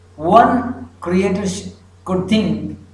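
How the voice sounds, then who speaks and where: Very slow speech from a man comes with audible room echo and noticeable background noise. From Pakistan. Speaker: religious speaker. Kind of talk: lecture. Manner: halting, frequent fillers.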